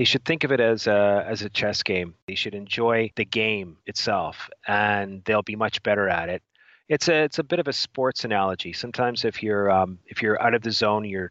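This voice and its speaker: A man speaks in an ordinary speaking voice, fairly low in pitch, at a moderate pace. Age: 50s. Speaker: professional trader and trading school founder. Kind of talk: interview. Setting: remote call.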